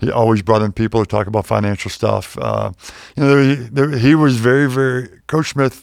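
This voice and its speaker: With an American accent and a normal speaking voice, a man speaks at a medium pitch and moderate pace with ordinary pitch variation. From Pittsburgh, Pennsylvania. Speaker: wealth manager, former pro basketball player. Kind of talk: casual interview. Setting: studio.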